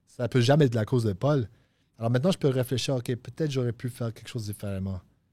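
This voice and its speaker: Very fast, somewhat breathy male voice with a dark, mellow tone and ordinary pitch variation on a very clean recording with a silent background. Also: medium pitch for a man, dry, close sound with no echo. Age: 30s. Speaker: recovering addict sharing his story. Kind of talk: testimony. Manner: halting, repeats words.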